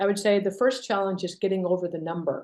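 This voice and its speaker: This is a woman's voice. Her pitch is medium. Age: 60s. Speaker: company co-founder and CEO. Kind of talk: interview. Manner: hesitant, many fillers.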